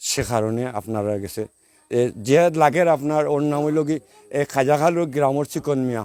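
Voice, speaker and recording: A man's fairly high voice with ordinary pitch variation, in a dry, close sound with no echo. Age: 20s. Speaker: local resident making a grievance. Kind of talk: interview testimony.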